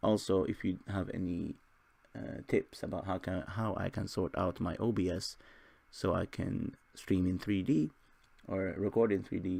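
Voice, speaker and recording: The voice has a dark, mellow tone with vocal fry and lively intonation. It moves at a moderate pace over a quiet background. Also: man, very deep, low pitch for a man. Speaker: gaming youtuber. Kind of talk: gameplay commentary. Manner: hesitant, many fillers.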